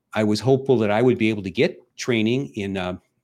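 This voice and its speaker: Over a silent background in a very clean recording, a man talks at a fairly quick pace with a fairly low pitch and ordinary pitch variation. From US Midwest, Ohio. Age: 60s. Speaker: army veteran. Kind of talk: casual chat.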